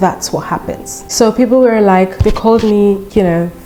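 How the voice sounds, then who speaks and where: A woman speaks with a Nigerian accent while music plays in the background. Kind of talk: casual storytime talk to camera.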